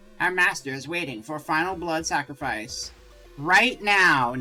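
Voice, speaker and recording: A man's put-on character voice, raised and projected, fairly high-pitched with lively intonation, over faint music in the background. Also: moderate pace. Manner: ominous.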